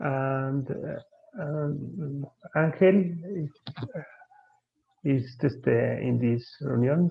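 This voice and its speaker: A man with a Spanish accent, fairly high in pitch with ordinary variation, speaking very slowly with long, frequent pauses. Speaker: panel presenter. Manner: halting.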